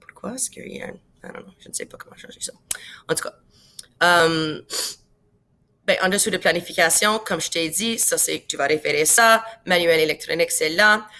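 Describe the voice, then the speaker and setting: With an English accent and a bright, sharp tone, a woman speaks at medium pitch, with long, frequent pauses and big swings in loudness. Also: ordinary pitch variation, moderate pace. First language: English (speaking French). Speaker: science teacher. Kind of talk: tutorial. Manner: casual, many fillers and English words.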